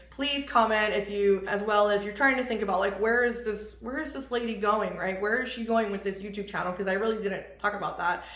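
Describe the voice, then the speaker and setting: A woman with a medium pitch talks at a fairly quick pace, with hardly any pauses. Audible room echo and noticeable background noise fill the recording. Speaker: vlogger. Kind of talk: tutorial. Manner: fast; animated.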